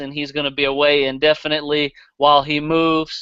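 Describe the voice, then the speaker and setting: Speaking in a Southern US accent, a man talks with a fairly high pitch. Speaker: podcast host. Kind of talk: casual chat. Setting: live stream.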